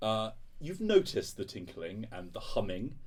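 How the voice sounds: A fairly slow pace with big pitch swings. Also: man, fairly low pitch for a man.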